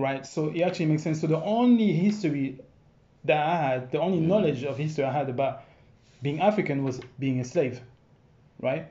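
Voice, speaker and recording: Amid audible room echo, a man with a somewhat breathy, fairly high voice talks at a fairly quick pace with ordinary pitch variation and long, frequent pauses. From France. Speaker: dancer and entrepreneur. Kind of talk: casual chat.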